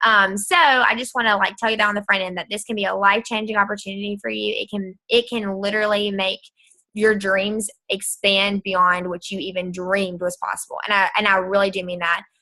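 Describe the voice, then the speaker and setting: Her tone bright and sharp, a woman speaks at medium pitch and a fairly quick pace in monotone, flat intonation. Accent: Southern US. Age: 20s. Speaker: direct sales distributor. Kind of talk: sales pitch. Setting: video call. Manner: fast.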